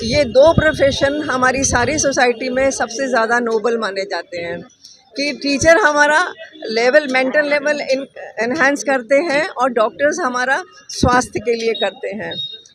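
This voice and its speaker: Noticeable background noise accompanies speech with lively intonation. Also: woman, high pitch for a woman. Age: 70s. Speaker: volunteer at a charity blood donation camp. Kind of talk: interview.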